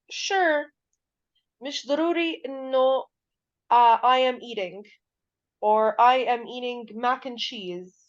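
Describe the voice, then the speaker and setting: A woman's high-pitched voice with a strong non-native accent, very slow and lively in intonation, with long, frequent pauses. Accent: heavy accent in English. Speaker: English teacher. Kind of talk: lecture. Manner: code-switching between Arabic and English.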